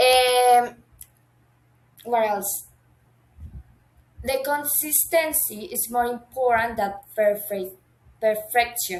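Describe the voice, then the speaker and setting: Speaking very slowly with long, frequent pauses, a woman uses a high pitch and ordinary pitch variation in a Colombian accent. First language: Spanish. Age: 20s. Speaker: university language student. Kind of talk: class assignment video monologue. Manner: halting, with self-corrections.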